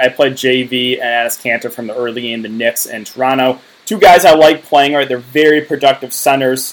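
At a moderate pace, a man with an unremarkable speaking voice talks at a fairly high pitch with fairly even intonation. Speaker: daily fantasy sports YouTuber. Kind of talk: casual YouTube video monologue.

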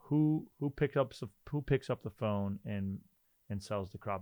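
A man's dark, mellow voice on a very clean recording with a silent background. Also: dry, close sound with no echo. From North Dakota. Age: 30s. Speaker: software company CEO. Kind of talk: casual chat.

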